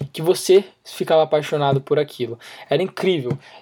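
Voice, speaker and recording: Animated in tone, a man speaks at a fairly quick pace. His pitch varies in an ordinary way. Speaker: podcast host and fitness youtuber. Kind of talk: casual solo monologue. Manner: fast, animated.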